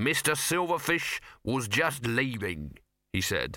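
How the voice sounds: A natural reading voice comes through with only quiet behind it.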